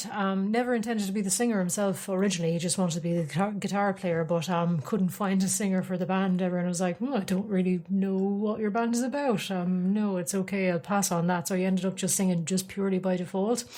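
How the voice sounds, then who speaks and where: A woman with an Irish accent speaks at a very fast pace with hardly any pauses and very even loudness, over noticeable background noise. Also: medium pitch for a woman, fairly even intonation. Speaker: podcast host. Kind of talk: casual chat. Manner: hesitant, many fillers.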